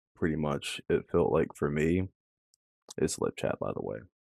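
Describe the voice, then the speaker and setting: A man talks at a moderate pace in a dark, mellow, relaxed tone. The sound is dry and close, with no echo. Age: 20s. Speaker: commentary vlogger. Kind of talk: casual monologue.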